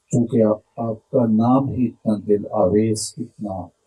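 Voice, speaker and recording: Here is a man with a fairly low voice. It sounds somewhat breathy. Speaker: Islamic preacher. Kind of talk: religious sermon (bayan).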